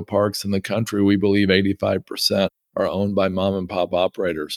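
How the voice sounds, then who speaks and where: On a very clean recording with a silent background, a man uses an ordinary speaking voice at a moderate pace, the sound dry and close with no echo. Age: 50s. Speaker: real estate investor. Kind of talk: interview.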